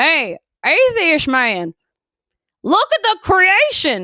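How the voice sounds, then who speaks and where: A woman puts on a character voice in a Southern US accent, speaking very slowly at an extremely high pitch, with a dry, close sound, no echo, and a very clean recording over a silent background. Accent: southern American. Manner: mocking, condescending.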